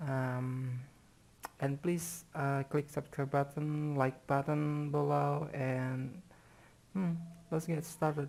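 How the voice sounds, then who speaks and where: Someone with a non-native accent speaks at a very slow pace. Long, frequent pauses break up the speech. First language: not English. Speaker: tech tutorial youtuber. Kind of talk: tutorial. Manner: halting, many fillers.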